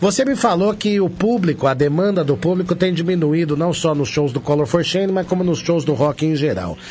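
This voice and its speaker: A man with a high pitch, a fairly quick pace, hardly any pauses, ordinary pitch variation and very even loudness. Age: 40s. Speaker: radio host. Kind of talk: radio show interview.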